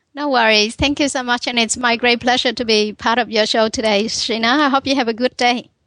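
In a bright, sharp tone, a woman with a high pitch speaks at a fairly quick pace with hardly any pauses, her intonation monotone and flat against a quiet background. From Vietnam. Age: 40s. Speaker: author and humanitarian. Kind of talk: interview. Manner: halting.

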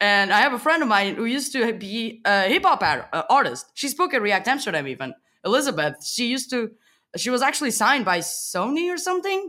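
A woman speaks with a Portuguese accent, fairly high in pitch, with very wide pitch swings and some vocal fry. Her tone is bright and sharp, her pace fairly quick, and the recording very clean against a silent background. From Portugal. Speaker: software developer. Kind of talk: casual interview chat. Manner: animated, laughs often.

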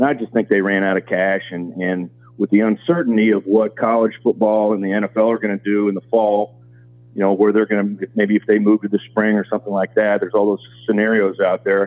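Speaking at a fairly quick pace, a man with a Midwestern American accent uses a fairly low pitch. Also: fairly even intonation. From Kansas. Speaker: college football administrator. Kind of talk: interview.

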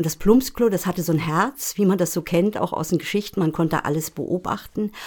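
In a normal speaking voice, a woman of fairly low pitch talks with ordinary pitch variation. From Rügen, northeastern Germany. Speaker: podcast co-host, screenwriter. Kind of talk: casual conversation.

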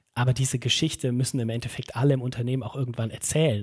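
Somewhat breathy, a man's medium-pitched voice keeps fairly even intonation. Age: 30s. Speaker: head of talent management and learning. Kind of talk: podcast interview. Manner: hesitant, many fillers.

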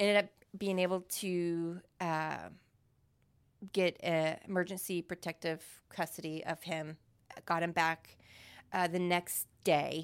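A woman with an American accent, fairly low in pitch, at a very slow pace with long, frequent pauses and monotone, flat intonation, on a very clean recording with a silent background. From Missouri. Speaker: church member sharing life story. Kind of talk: casual interview testimony.

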